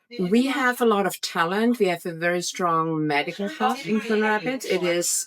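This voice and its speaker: A woman with a German accent talks at a moderate pace with hardly any pauses. Her medium pitch carries lively intonation, and her loudness stays very even. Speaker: real estate agent. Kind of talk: interview. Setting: on location at an event.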